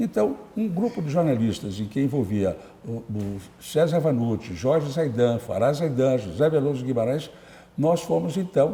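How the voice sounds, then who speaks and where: At a fairly slow pace, a man speaks in a somewhat breathy, dark, mellow tone at a medium pitch with very wide pitch swings. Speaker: journalist and writer. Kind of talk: interview. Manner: halting.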